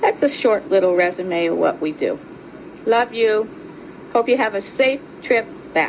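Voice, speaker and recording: Intonation rises and falls in a lively way, broken by long, frequent pauses. Background noise can be clearly heard. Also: woman, fairly high pitch for a woman, fairly slow pace. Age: 60s. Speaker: nun and fundraiser. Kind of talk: family video message. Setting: family reunion, home video.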